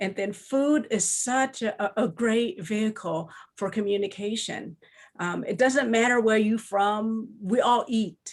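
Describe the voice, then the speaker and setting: A fairly high-pitched woman's voice at a fairly slow pace, with ordinary pitch variation. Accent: Lao. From Laos. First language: Lao. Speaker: children's book author. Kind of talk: panel discussion. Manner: halting.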